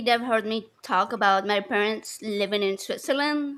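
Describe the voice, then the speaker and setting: A woman is talking. Her pace is moderate. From Argentina. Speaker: stream panelist. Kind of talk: casual chat.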